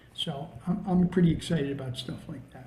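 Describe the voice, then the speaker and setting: In an American accent, a man speaks at a fairly quick pace with a high pitch and a dark, mellow tone, and audible room echo surrounds him. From New Jersey. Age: 70s. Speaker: veteran high school football coach. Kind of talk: casual interview chat and coaching talk. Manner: halting, many repeated words and fillers.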